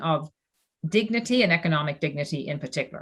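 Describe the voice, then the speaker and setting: A woman's an ordinary speaking voice, lively in intonation, at a fairly quick pace. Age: 60s. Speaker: former finance executive, philanthropist. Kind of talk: panel discussion. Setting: video call.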